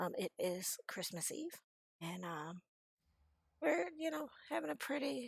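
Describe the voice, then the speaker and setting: Background music accompanies speech delivered at a fairly slow pace. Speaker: game streamer. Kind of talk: live game stream commentary. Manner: hesitant, many fillers.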